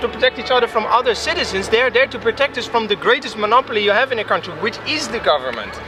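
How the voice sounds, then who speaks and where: Music in the background under a man's extremely high pitch, very fast pace and ordinary pitch variation. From Netherlands, Leiden. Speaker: citizen journalist, biochemist. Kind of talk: spontaneous interview. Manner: halting, many repetitions and fillers.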